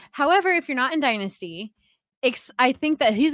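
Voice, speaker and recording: Loud and full of lively intonation, a woman's voice comes through a very clean recording with a silent background and a dry, close sound free of echo. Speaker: fantasy football podcast co-host. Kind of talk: casual chat.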